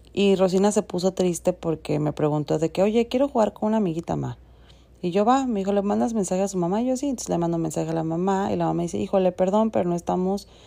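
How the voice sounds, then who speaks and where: Delivered at a very fast pace in a Mexico City accent, the voice has a dark, mellow tone. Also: woman. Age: 30s. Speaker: podcast host. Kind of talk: casual monologue.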